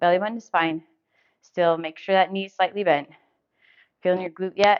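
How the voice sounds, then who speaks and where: A woman talks at a fairly quick pace and a medium pitch. Her intonation is monotone and flat, while her loudness swings widely. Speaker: fitness instructor. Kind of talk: workout instruction. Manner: encouraging.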